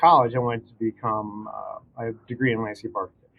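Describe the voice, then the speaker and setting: The recording is very clean, with a silent background. In it, a man speaks at a moderate pace. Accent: American. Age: 60s. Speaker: arborist. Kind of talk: casual interview. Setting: studio.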